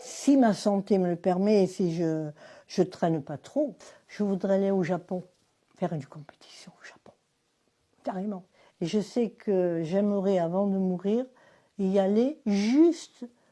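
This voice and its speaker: Speaking at a very slow pace with long, frequent pauses, a woman keeps a medium pitch and ordinary pitch variation. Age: 80s+. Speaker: karate practitioner. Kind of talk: interview testimony. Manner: animated.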